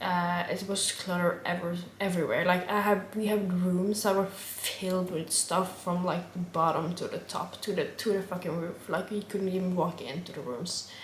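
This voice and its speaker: A woman with a Norwegian accent at a medium pitch, monotone and flat, at a moderate pace, with audible room echo and noticeable background noise. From Norway. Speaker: vlogger. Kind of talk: casual chat. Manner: halting.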